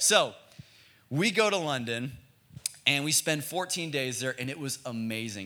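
Animated and bright, a man's tone comes across as sharp. His pitch varies in an ordinary way. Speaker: student pastor. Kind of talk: sermon. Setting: church youth service with live audience.

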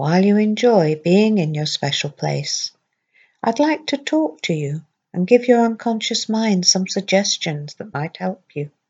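Speaking fairly slowly in a soothing, gentle tone, a woman with a medium pitch sounds somewhat breathy and makes very wide pitch swings. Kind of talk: guided hypnosis script read aloud to a patient. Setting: recorded audio played to patient headphones in intensive care. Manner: slow, soothing, gentle, with long pauses; calm, steady, reassuring, soft-spoken.

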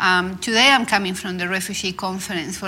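Over noticeable background noise, a woman with a Spanish accent speaks fairly quickly at medium pitch with fairly even intonation. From Argentina. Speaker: clinical psychologist. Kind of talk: panel discussion. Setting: stage with live audience.

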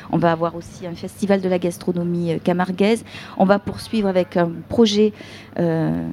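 A woman speaks at a moderate pace in a fairly low voice with fairly even intonation, over noticeable background noise. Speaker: tourism association director. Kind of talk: live radio interview. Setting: outdoor festival.

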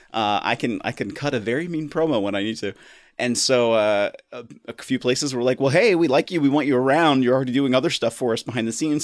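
A man with an American accent talks at a very fast pace in a medium pitch with ordinary pitch variation, in a very clean recording with a silent background. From US, Washington DC area. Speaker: podcaster. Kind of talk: casual chat.

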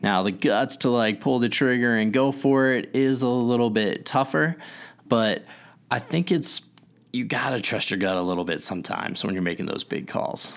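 A man's unremarkable speaking voice at a moderate pace. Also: medium pitch for a man, lively intonation. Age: 30s. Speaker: software startup founder and podcast co-host. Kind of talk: casual chat.

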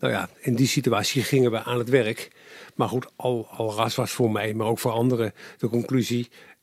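A man's medium-pitched voice, monotone and flat, at a moderate pace. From Netherlands, Capelle aan de IJssel (South Holland). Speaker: former journalist, politician and public affairs adviser. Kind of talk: interview. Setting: his study at home.

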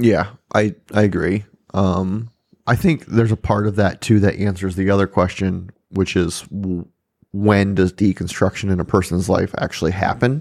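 In a very clean recording with a silent background, a man speaks at a moderate pace with a fairly low pitch and fairly even intonation. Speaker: pastor and podcast co-host. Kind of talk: casual chat. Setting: studio with microphones and video. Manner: quiet, sits far from the mic; relaxed.

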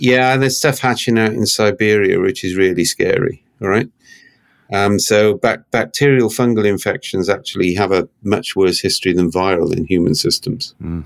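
A man with a normal speaking voice, fairly low in pitch, talks at a moderate pace with ordinary pitch variation. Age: 60s. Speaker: consultant and author.

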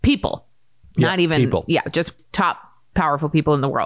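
A woman talks with an American accent. The recording is very clean, with a silent background. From US Northeast, Maine. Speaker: podcast host and entrepreneur. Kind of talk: casual chat.

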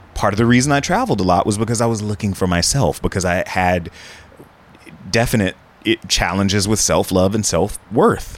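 A normal speaking voice from a man with an American accent, fairly low in pitch, at a fairly quick pace, with ordinary pitch variation and very even loudness. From United States. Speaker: travel TV host and producer. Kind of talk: interview conversation.

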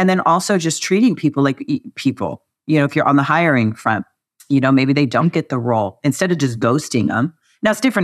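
A woman talks at a very fast pace in a very deep, low pitch with lively intonation. The sound is dry and close with no echo, over a quiet background. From California. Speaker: tech company executive. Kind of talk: interview.

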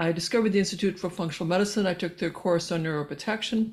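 A woman's plain, everyday voice, medium in pitch, with fairly even intonation. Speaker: physician and researcher. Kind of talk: interview. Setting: remote call.

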